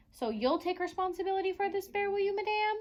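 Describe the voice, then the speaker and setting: In a loud, squeaky, put-on character voice, a woman speaks at an extremely high pitch and a very fast pace. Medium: read story. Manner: loud, blustering.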